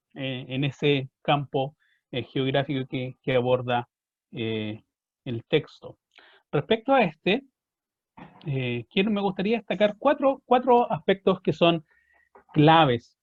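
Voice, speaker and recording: At a fairly slow pace, a man with a Chilean accent speaks in a fairly high pitch with lively intonation and long, frequent pauses. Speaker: historian, book presenter. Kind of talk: book presentation talk. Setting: online video event.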